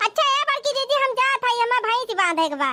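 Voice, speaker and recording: A woman's squeaky, put-on character voice, extremely high in pitch, with lively intonation at a fairly quick pace. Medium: cartoon. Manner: evasive, falsely innocent.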